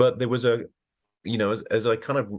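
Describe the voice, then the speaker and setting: Over a quiet background, a man with a British accent talks at a moderate pace. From Britain. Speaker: oncologist. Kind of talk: interview.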